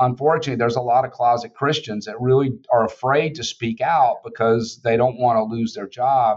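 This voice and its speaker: In a Southern US accent, a man talks at a fairly quick pace and medium pitch with fairly even intonation. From Georgia, US South. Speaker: biotech CEO. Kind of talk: casual interview conversation.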